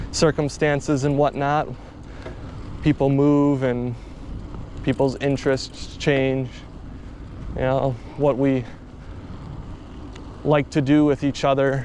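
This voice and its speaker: The speech moves at a very slow pace with long, frequent pauses. Background noise is noticeable. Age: 20s. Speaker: vlogger. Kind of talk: casual vlog monologue. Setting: outdoors, riding a bike at night. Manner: casual, rambling conversational.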